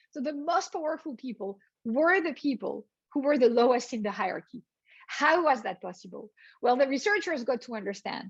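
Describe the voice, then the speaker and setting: A woman speaks in a French accent at a fairly quick pace. Her high pitch makes very wide swings. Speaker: business professor. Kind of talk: lecture.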